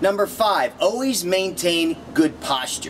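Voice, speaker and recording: With lively intonation and a high pitch, a man speaks at a moderate pace over noticeable background noise. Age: 50s. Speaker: yoga and fitness instructor. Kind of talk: video tips talk. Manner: energetic.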